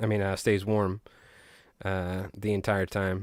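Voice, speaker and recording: In a Long Island accent, a man speaks on a very clean recording with a silent background and a dry, close sound with no echo. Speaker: fly tier streamer. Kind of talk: live stream chat while tying flies. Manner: casual, chatty.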